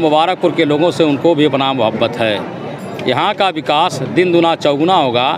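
Over noticeable background noise, a man speaks at a fairly slow pace with ordinary pitch variation and a dry sound with no echo. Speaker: party politician. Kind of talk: interview answer. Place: hall.

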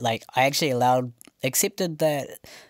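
A man speaks at a fairly quick pace. The sound is dry with no echo, and the background is quiet. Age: 20s. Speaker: interviewee sharing a weight-loss and fitness journey; interviewee. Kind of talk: casual interview. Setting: studio with microphones. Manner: soft-spoken; speaks quietly. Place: studio.

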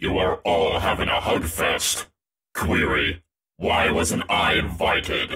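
A man's raspy, very deep put-on character voice at a fairly slow pace. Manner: flat, mechanical.

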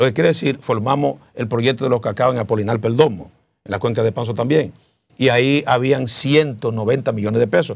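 Moderately paced male speech, pitch varying in an ordinary way. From Dominican Republic. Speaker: senate pre-candidate, politician; candidate, politician. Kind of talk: interview. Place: studio. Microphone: lapel.

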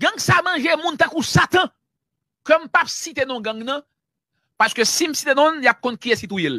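Long, frequent pauses at a fairly slow pace, in a Haitian accent. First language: Haitian Creole (speaking French). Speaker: journalist. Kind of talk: news commentary.

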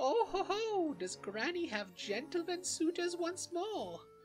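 A put-on character voice, cackling and playful in tone, at an extremely high pitch and a fairly slow pace, with clear music in the background. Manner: cackling, playful.

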